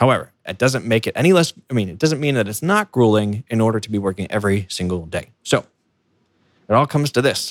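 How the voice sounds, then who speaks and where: On a very clean recording with a silent background and a dry, close sound with no echo, a man with an American accent talks at a very fast pace with lively intonation. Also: medium pitch for a man. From United States. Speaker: podcast host, software engineer. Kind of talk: solo podcast monologue. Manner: halting, self-correcting.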